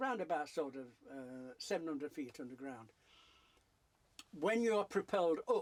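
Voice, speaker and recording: In a Yorkshire accent, a man speaks at a fairly slow pace with long, frequent pauses. His fairly high voice moves in very wide pitch swings. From South Yorkshire. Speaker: painter. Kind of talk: interview answer.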